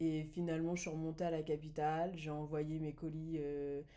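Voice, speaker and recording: Her pitch sits very deep and low, and the woman's tone is dark and mellow. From France. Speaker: entrepreneur, business manager. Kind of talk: podcast interview. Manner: hesitant, many fillers.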